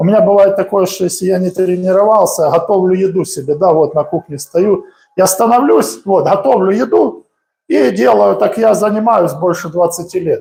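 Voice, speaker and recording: A man with a dark, mellow tone speaks at a high pitch and a moderate pace, with ordinary pitch variation. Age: 40s. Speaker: boxing coach. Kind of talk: live-streamed training tutorial. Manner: casual, conversational.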